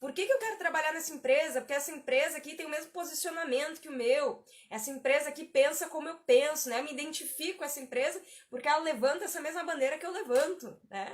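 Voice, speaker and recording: A woman talks very fast at a high pitch, using ordinary pitch variation. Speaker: career coach. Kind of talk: live stream tutorial. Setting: live stream. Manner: conversational, repetitive.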